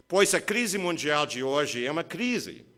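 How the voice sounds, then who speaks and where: In a strong non-native accent, this voice speaks at a fairly slow pace with a bright, sharp tone. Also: man. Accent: foreign accent in Portuguese, strong. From USA. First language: English (speaking Portuguese). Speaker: labor lawyer, keynote speaker. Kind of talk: keynote lecture.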